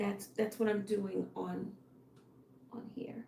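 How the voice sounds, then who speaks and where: Very slow speech from a woman, noticeable background noise behind it. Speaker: fashion designer and livestreamer. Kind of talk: live stream, casual solo talk. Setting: at home alone with dog. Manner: halting, thinking aloud.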